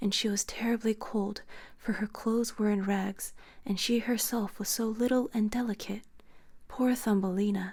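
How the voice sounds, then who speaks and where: Soft-spoken and somewhat breathy, a woman talks at a moderate pace in a calm tone, with monotone, flat intonation and very even loudness. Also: very clean recording, silent background. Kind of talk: softly spoken bedtime story reading. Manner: soft-spoken, calm.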